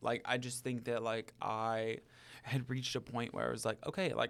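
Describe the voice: In a very clean recording with a silent background, a man speaks at a moderate pace and medium pitch, his fairly bright tone carrying vocal fry and little pitch movement.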